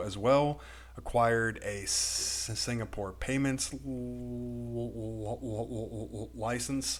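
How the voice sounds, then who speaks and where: A man with a Texan accent speaks at a very slow pace. His pitch swings very widely. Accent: Texan American. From Texas. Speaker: crypto YouTuber. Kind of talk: video commentary. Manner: relatively slow.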